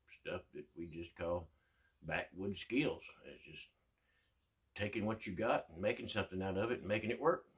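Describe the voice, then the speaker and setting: Against a quiet background, a man's somewhat breathy voice moves at a moderate pace. His pitch is fairly low with ordinary variation. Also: big swings in loudness. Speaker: outdoors skills vlogger. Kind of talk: casual vlog chat. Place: home room. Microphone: phone near.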